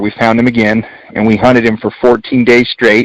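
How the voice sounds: Fairly quick, fairly low-pitched male speech with little pitch movement, dry and close with no echo.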